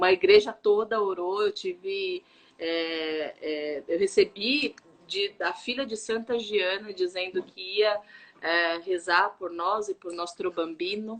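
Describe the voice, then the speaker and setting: A woman speaks very slowly at a medium pitch. Her pitch varies in an ordinary way. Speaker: live stream host, faith and wellbeing speaker. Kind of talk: casual live stream talk, personal testimony. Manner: lowered voice so the baby won't cry.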